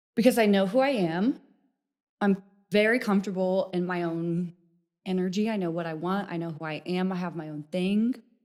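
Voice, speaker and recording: At a moderate pace, a woman with a slight Missouri accent speaks with big swings in loudness. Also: medium pitch for a woman, ordinary pitch variation. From Missouri, rural farm town. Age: 20s. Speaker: dating show participant. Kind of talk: casual chat.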